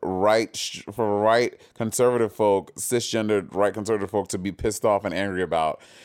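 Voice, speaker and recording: Over a silent background in a very clean recording, a man with an ordinary speaking voice talks at a moderate pace in a medium pitch. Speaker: podcast co-host. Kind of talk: casual comedic chat. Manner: chatty, with filler words.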